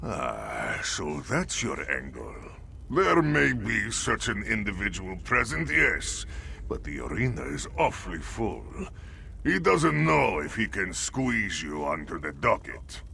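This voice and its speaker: A man puts on a character voice. He goes at a fairly slow pace over clear background noise. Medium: video game. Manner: smooth, wheedling.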